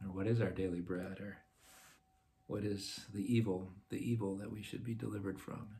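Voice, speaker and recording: A man speaks at a moderate pace with fairly low pitch and a dark, mellow tone. His voice is somewhat breathy and his intonation monotone and flat. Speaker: parish talk leader. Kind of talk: Lenten talk on prayer, with guided meditation. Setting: online video from home. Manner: hesitant, repeats words. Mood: calm, gentle. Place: home room. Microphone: phone near.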